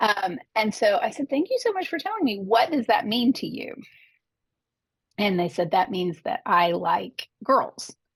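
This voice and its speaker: A woman speaks at a fairly high pitch with very wide pitch swings and a somewhat breathy voice. Her pace is fairly slow, and the sound is dry and close with no echo. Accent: American. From Arkansas, US South. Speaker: advocate, former librarian. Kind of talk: interview.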